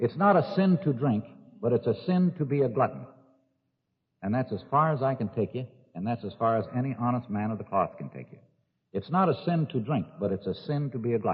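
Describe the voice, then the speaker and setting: With an American accent, a man talks at a fairly quick pace in a plain, everyday voice. His pitch is medium, and his intonation is lively. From California. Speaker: recovering alcoholic. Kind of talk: recovery meeting speaker talk. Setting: live audience recording, 1963. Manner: casual storytelling.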